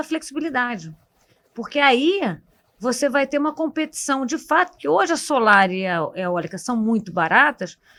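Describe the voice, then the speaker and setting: With very wide pitch swings, a woman talks in a high voice. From Rio de Janeiro, Brazil. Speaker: economist. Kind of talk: panel discussion podcast. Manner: halting, many fillers.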